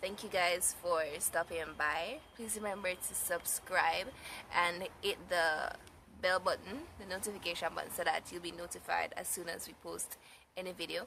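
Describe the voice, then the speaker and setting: Over noticeable background noise, a woman with a fairly low pitch speaks at a moderate pace with fairly even intonation and big swings in loudness. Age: 20s. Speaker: mommy vlogger. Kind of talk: casual vlog talk to camera. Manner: casual, halting with fillers.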